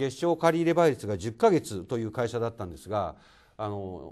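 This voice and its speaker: A man speaks against a quiet background, his pitch swinging very widely. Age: 50s. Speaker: construction company president. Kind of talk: lecture. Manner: formal. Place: hall. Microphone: handheld.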